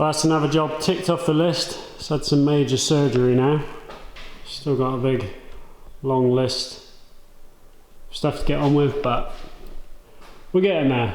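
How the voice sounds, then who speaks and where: The speech has long, frequent pauses and fairly even intonation. Audible room echo surrounds the voice. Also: man, fairly high pitch for a man, moderate pace. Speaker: DIY car builder and YouTuber; YouTuber. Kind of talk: casual talk to camera while working. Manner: monotone.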